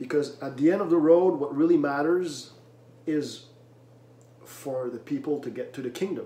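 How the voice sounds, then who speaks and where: Amid noticeable background noise and audible room echo, a fairly high-pitched man speaks at a moderate pace, with big swings in loudness and long, frequent pauses. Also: ordinary pitch variation. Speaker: religious video commentator. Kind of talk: preaching monologue. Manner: loud at times; emphatic, repeats words.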